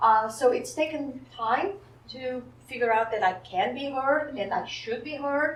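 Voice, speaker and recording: Over noticeable background noise and audible room echo, a woman with a non-native accent talks fairly slowly in a high voice with ordinary pitch variation. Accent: foreign. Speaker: psychologist, wellness center director. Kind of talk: panel interview.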